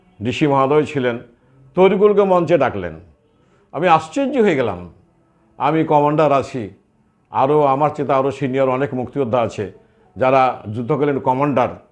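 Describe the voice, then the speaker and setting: Music plays behind the speaker. A man talks at medium pitch. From Bangladesh, Chapainawabganj. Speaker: war veteran association leader. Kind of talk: interview statement.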